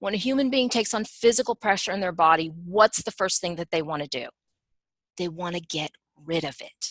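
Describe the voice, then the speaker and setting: Against a quiet background, a woman uses a normal speaking voice at a medium pitch and a fairly quick pace, with a dry, close sound and no echo. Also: lively intonation. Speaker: human design teacher and analyst. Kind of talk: webinar discussion. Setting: online webinar.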